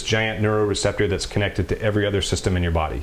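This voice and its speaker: A man's fairly low voice with an American accent, very fast pace and fairly even intonation over noticeable background noise. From US South, Mississippi. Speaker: retired Navy SEAL sniper, CBD company founder. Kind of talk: interview, explaining.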